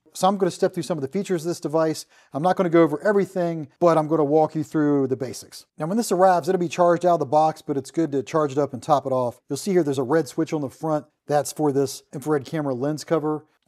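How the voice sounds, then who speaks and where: A dark, mellow tone at a very fast pace with hardly any pauses and ordinary pitch variation, against a quiet background. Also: man. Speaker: tool reviewer. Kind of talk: product demo tutorial. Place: workshop.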